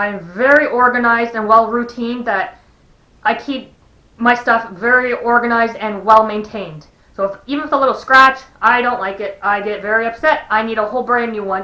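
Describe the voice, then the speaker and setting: A woman speaks at a fairly quick pace with a fairly high pitch. Her pitch varies in an ordinary way. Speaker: vlogger. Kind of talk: personal vlog. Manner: halting, with pauses and repeats.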